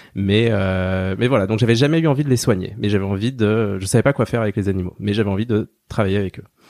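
Recorded very cleanly against a silent background, a man with a fairly low pitch speaks at a very fast pace with hardly any pauses. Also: ordinary pitch variation. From rural France. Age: 30s. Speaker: veterinarian. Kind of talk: interview. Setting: small room at his clinic. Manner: hesitant, many fillers.

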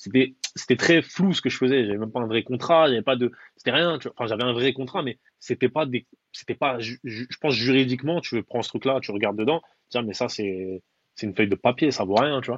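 Using an unremarkable speaking voice, a man talks fairly quickly at a medium pitch with ordinary pitch variation. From Paris, Belleville (19th arrondissement). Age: 30s. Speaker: personal branding consultant. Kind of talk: casual interview.

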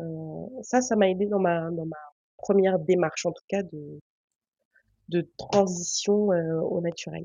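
The speaker goes at a very slow pace with long, frequent pauses, fairly even intonation and big swings in loudness. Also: woman, fairly low pitch for a woman. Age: 20s. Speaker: laboratory worker. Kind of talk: casual chat.

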